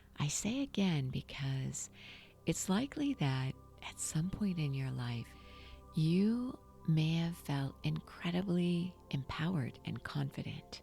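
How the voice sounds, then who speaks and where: With music in the background, the voice moves at a very slow pace in a warm, calm tone. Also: woman. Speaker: meditation guide / podcast host. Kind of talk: guided meditation podcast narration. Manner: warm, calm, conversational.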